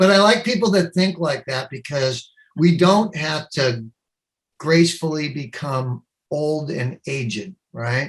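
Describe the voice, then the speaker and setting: Using lively intonation, a man with a plain, everyday voice speaks at a fairly high pitch. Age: 60s. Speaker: company CEO and inventor. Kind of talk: interview.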